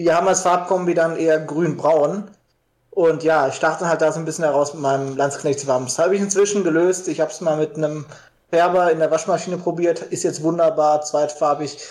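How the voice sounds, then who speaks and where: The man's intonation is fairly even. He moves through his words at a fairly quick pace. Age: 20s. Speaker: LARP hobbyist. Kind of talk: casual interview.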